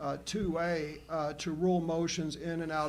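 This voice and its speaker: With an American accent, a man speaks at a fairly high pitch in a monotone, flat intonation, with audible room echo. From Oklahoma. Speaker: school board member. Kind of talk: board meeting debate. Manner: halting, many restarts.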